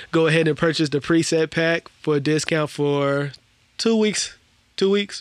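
A man speaks in an ordinary speaking voice, fairly high in pitch, with ordinary pitch variation. His pace is fairly slow and his loudness very even. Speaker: podcast host, audio engineer. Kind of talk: casual chat podcast.

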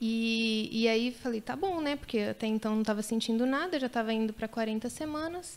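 In an ordinary speaking voice, a woman talks with hardly any pauses at a fairly high pitch and ordinary pitch variation. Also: fairly quick pace. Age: 30s. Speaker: mother sharing birth stories. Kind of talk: testimony.

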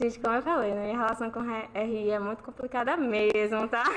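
A woman speaks at a moderate pace in a fairly high pitch over noticeable background noise. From Bahia, Brazil. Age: 20s. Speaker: university student. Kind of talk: casual chat. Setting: live stream with panel.

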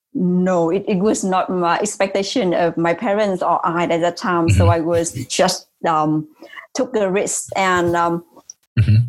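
A woman speaks with a Vietnamese accent. Her pace is fairly slow, with ordinary pitch variation. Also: fairly low pitch for a woman, very even loudness. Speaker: tech company CEO. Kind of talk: interview. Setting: remote call.

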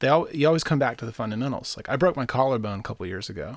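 This man has a plain, everyday voice with lively intonation. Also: very clean recording, silent background. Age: 30s. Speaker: musician and marketing consultant. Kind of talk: casual interview. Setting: in person.

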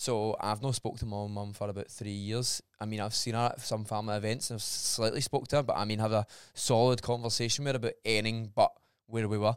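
A man with a Scottish accent, very fast and medium-pitched, in a monotone, flat delivery on a very clean recording with a silent background. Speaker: personal trainer. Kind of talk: casual chat.

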